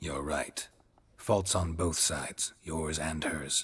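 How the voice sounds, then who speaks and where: Using a put-on character voice, a man delivers a deadpan tone at a very slow pace and a very deep, low pitch. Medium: video game. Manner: terse, deadpan.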